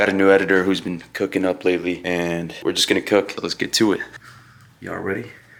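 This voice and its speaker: Energetic in tone, a man speaks at a very fast pace with fairly low pitch. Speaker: gaming and lifestyle YouTuber. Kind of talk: casual vlog talk. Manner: casual, energetic.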